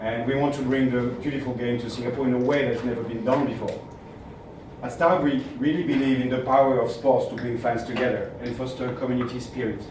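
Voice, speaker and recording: Speaking at a very fast pace with a French accent, a man keeps a medium pitch and a monotone, flat intonation. The room echo is audible, and the background noise is noticeable. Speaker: media company executive. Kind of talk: speech read aloud. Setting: stage at a press event.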